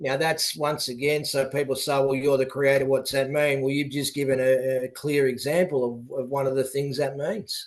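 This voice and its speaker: The speaker has an Australian accent and a monotone, flat intonation. The pace is moderate, with hardly any pauses. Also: man, fairly high pitch for a man. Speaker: politician and youth advocate. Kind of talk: radio interview. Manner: halting.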